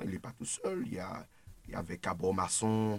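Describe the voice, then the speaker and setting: A man is speaking. His pace is very slow. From Martinique. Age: 20s. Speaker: political activist. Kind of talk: radio discussion. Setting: studio.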